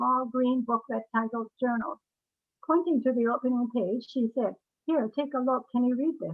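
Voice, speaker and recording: Someone with a Canadian accent speaks with fairly even intonation. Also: woman. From Canada. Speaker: memoirist and former curator. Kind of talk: reading aloud; author talk. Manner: halting.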